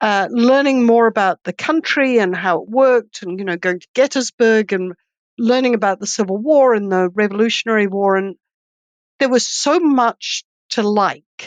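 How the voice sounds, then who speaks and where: The speaker has a New Zealand accent, and the loudness swings widely. The sound is dry and close, without any echo. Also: woman, fairly high pitch for a woman, ordinary pitch variation, moderate pace. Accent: light New Zealand. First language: Swedish. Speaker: economist and professor. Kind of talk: interview.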